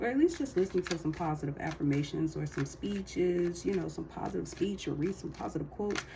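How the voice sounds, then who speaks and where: Noticeable background noise is present. A woman talks at a fairly quick clip. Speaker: tarot card reader. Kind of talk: casual tarot reading monologue.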